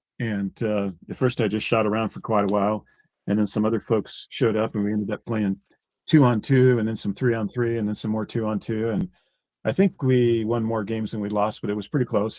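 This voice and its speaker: Very fast, fairly low-pitched male speech with fairly even intonation, in a dry, close sound with no echo, on a very clean recording with a silent background. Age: 50s. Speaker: live stream host, roofer. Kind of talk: casual chat. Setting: live stream.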